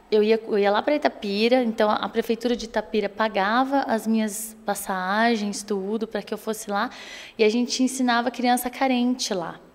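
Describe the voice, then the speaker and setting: A woman speaks at a moderate pace with a São Paulo interior accent. Her pitch is fairly high and her intonation fairly even. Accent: Pinhal (São Paulo interior). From Brazil, São Paulo state interior (Espírito Santo do Pinhal area). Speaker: actress and theater teacher. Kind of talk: interview.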